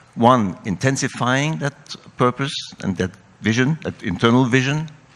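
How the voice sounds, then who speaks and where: A man speaks in a French accent. His intonation is lively and his pace moderate. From France. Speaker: company CEO. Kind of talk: panel discussion.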